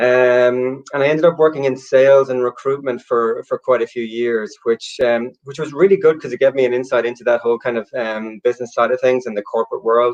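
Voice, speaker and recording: A man at a medium pitch with an Irish accent, talking at a fairly quick pace in a dry, close sound with no echo. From Ireland, Galway. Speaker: storyteller and copywriter. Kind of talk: interview. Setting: livestream. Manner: halting.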